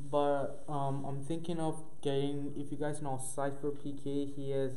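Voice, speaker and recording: A man speaks at a fairly slow pace. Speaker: podcast host. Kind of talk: casual podcast chat. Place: home room. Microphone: camera far.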